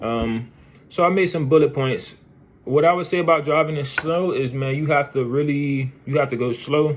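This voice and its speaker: Pitched fairly high, a man talks at a moderate pace with fairly even intonation. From Florida. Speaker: truck driver in training. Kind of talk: casual video diary.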